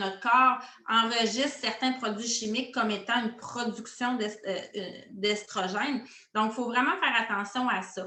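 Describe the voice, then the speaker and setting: A woman's fairly high voice in a Quebec accent, fairly slow and fairly even, with audible room echo. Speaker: essential oils coach. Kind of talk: interview. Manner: hesitant, many filler sounds.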